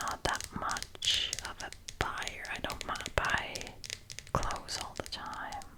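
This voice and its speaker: The speech is a whisper, delivered at a very slow pace. There is noticeable background noise. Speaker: ASMR creator. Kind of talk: ASMR this-or-that answers, casual talk. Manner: whispered, soft-spoken.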